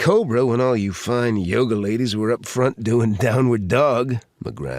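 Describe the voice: What you hear is plain reading aloud.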